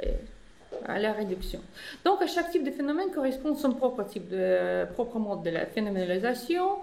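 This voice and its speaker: Noticeable background noise and audible room echo surround a woman speaking fairly quickly in a high pitch with very wide pitch swings. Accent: non-native. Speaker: philosophy professor. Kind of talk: academic conference talk. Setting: conference room with audience. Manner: halting, many hesitations.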